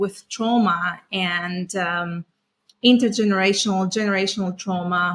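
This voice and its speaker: A monotone, flat delivery with a Greek accent. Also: woman. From Greece. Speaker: trauma specialist. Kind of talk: podcast interview.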